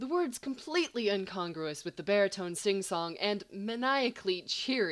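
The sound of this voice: The intonation rises and falls in a lively way. It comes from an unforced reading voice.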